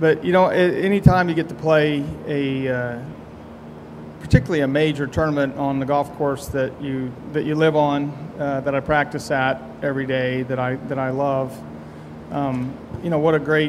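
A man talks at a moderate pace with fairly even intonation and long, frequent pauses, against noticeable background noise. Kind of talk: press conference answer. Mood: proud, relaxed. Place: hall. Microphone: podium.

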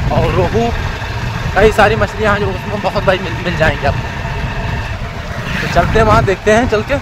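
There is clear background noise as a man speaks with a high pitch and ordinary pitch variation.

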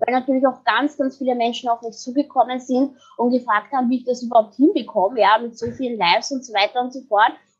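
A woman with a high voice and a Viennese accent, talking at a very fast clip. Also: ordinary pitch variation. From Vienna, Austria. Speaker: branding and PR expert. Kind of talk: podcast interview answer. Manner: upbeat.

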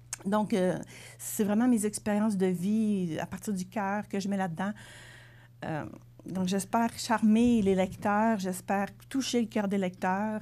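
Here a woman talks very slowly at a medium pitch. Her tone is dark and mellow, her intonation fairly even. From Quebec City region, Quebec; Quebec. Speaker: self-published author; interviewee. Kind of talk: TV interview. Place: studio. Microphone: lapel.

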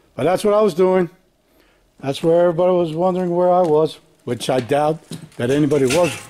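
A man at a fairly quick pace with ordinary pitch variation, music in the background. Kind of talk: casual vlog chat. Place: garage. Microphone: phone near.

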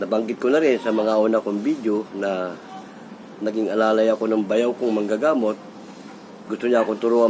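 Over noticeable background noise, a man with medium pitch talks at a fairly quick pace with fairly even intonation. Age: 60s. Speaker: vlogger. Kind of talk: casual storytelling monologue.

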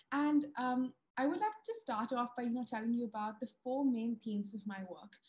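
A woman's high voice at a moderate pace, with ordinary pitch variation. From India. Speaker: wildlife filmmaker and TV presenter. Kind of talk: webinar presentation. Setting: video call. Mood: warm, enthusiastic. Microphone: video call.

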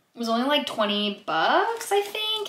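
A woman speaks at a moderate pace. The room echo is audible. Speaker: vlogger. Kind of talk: casual vlog chat. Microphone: phone near.

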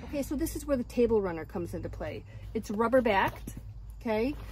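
Dry sound with no echo on a woman speaking. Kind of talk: tutorial. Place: car. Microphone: phone near.

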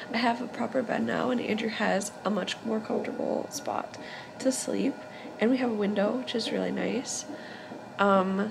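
A woman talks fairly slowly as noticeable background noise carries on behind her. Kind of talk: casual vlog chat. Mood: happy, relieved. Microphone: phone near.

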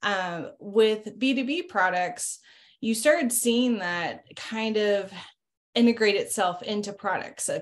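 Her pitch fairly high with ordinary pitch variation, a woman speaks at a very slow pace. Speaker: marketing executive. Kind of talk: casual business interview. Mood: friendly, upbeat. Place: home room. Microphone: video call.

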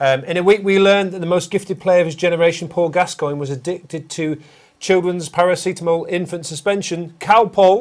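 In a northern English accent, a man speaks at a fairly quick pace with a high pitch. The background is quiet. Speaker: podcast host. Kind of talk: casual podcast banter. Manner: fast talker. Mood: jokey, amused storytelling. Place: studio.

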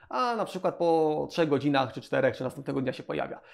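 A man at a very fast pace, fairly high in pitch, with ordinary pitch variation and a quiet background. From Poland. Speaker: web agency owner. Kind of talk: tutorial. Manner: casual, repetitive fillers. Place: office. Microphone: lapel.

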